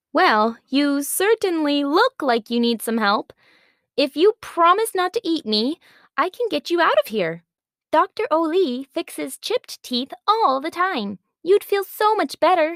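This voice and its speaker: A female-sounding voice puts on a squeaky character voice at an extremely high pitch. The pace stays moderate. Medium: audio drama. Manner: polite, enthusiastic.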